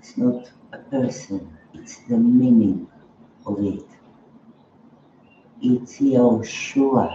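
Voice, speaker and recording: With noticeable background noise, a man at medium pitch speaks at a very slow pace with long, frequent pauses, fairly even intonation and big swings in loudness. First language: not English. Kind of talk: spiritual talk. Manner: halting.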